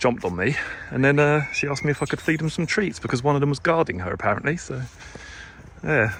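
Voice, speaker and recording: Noticeable background noise is present. The talking goes by very fast. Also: man, fairly high pitch for a man. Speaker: true crime youtuber. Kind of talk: walking vlog narration. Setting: outdoors in fields. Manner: casual, hesitant with fillers.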